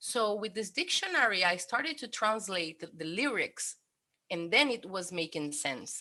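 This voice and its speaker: With a Brazilian accent, a woman talks at a moderate pace in a medium-pitched, bright, sharp voice that swings very widely in pitch. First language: Portuguese. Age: 30s. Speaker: cook and polyglot. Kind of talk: interview. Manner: halting.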